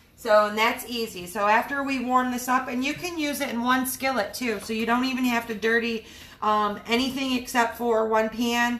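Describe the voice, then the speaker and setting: Speaking in an upbeat tone with an American accent, a woman talks at a high pitch with hardly any pauses over noticeable background noise. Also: moderate pace. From US Midwest, Michigan. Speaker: cooking livestream host. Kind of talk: live cooking demonstration. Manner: chatty, upbeat.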